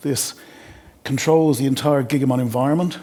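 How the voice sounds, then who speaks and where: At a very fast pace, a man with an Irish accent speaks at a medium pitch with ordinary pitch variation. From Ireland. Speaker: sales engineer. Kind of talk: product demo. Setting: webinar.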